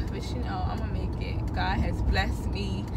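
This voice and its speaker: A woman talks fairly slowly while loud noise fills the background. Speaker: driver vlogger. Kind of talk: casual vlog chat. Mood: irritated, venting. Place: car. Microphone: phone near.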